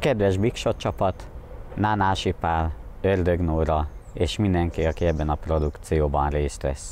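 This man's voice is very deep and low, with ordinary pitch variation. He talks at a fairly slow pace with very even loudness. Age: 30s. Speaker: amateur photographer applicant. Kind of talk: application video monologue. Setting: outdoors at a crossroads.

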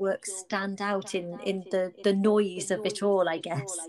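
A woman with an unremarkable speaking voice talks slowly-ish, at a fairly slow pace, in medium pitch with fairly even intonation. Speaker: podcast host. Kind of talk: casual interview. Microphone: echo on recording.

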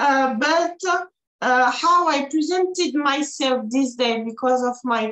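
A woman's high-pitched voice with a French accent and lively intonation, at a fairly slow pace, with audible room echo against a quiet background. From France. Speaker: IFBB pro bodybuilder and Olympian. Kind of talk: casual interview. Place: home room. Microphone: video call.

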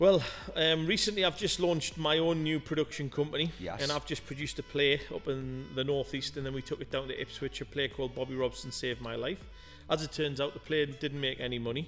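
A man rushes along at a very fast pace while faint music sits in the background. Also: ordinary pitch variation. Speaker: interview guest. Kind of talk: interview answer. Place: studio. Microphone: studio mic.

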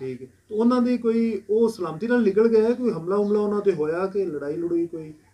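His tone is dark and mellow. The man's pitch is high. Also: ordinary pitch variation. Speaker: oral history interviewer. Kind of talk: interview questions and intro.

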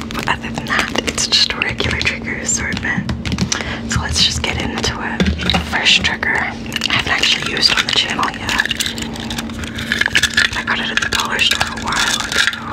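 Whispering over music in the background, the speaker keeps a moderate pace with long, frequent pauses. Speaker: ASMR creator. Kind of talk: soft-spoken ASMR intro chat. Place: home room. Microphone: studio mic.

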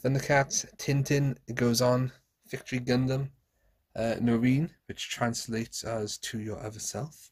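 Somewhat breathy, a man talks at a moderate pace with fairly even intonation against a quiet background. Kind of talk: casual vlog chat. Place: home room.

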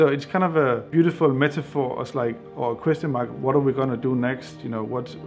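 Over faint music in the background, a man speaks at a fairly quick pace with ordinary pitch variation. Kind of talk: interview answer. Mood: reflective, thoughtful. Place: studio.

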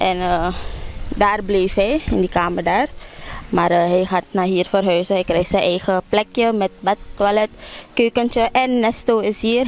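Her sound is dry with no echo as a woman speaks fairly slowly, with very even loudness and ordinary pitch variation. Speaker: vlogger. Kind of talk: casual vlog chat. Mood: cheerful, laughing. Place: garden. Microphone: phone near.

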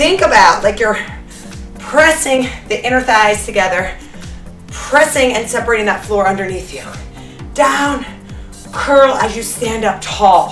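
Faint music plays in the background, and there is audible room echo. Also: woman. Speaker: fitness instructor. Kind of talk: workout instruction cues. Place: studio.

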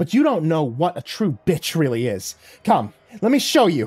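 A put-on character voice growls with a slightly husky edge and a slightly mellow tone, swinging very widely in pitch at a moderate pace. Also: man, fairly high pitch for a man.

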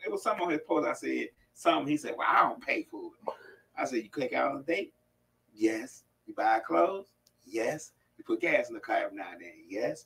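A man talks at a fairly quick pace with long, frequent pauses and big swings in loudness over light background noise. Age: 50s. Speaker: co-host. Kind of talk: casual chat. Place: studio.

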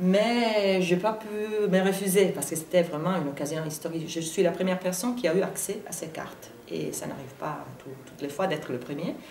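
A woman speaks with an Italian accent at a moderate pace and medium pitch, with ordinary pitch variation, big swings in loudness and hardly any pauses. Light background noise and audible room echo are present. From Italy. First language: Italian (speaking French). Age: 40s. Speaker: journalist and biographer; journalist. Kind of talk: interview; interview answer. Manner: halting. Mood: thoughtful, lightly animated. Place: studio.

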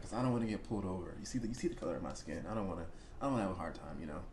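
Speech races at a very fast pace over light background noise. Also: man. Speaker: reaction video host. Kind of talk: casual reaction commentary. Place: home room.

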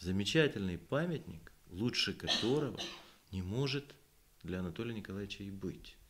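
A man with a fairly low-pitched voice speaks at a moderate pace with lively intonation. He takes long, frequent pauses, and there is light background noise. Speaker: poet and composer. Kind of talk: literary talk with poetry reading. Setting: library event with audience. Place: hall. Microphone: podium.

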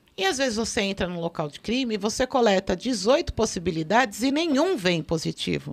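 A woman talks fairly slowly, her pitch making very wide swings. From Brazil. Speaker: forensic expert; guest. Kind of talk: casual chat. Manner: talkative. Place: studio. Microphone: studio mic.

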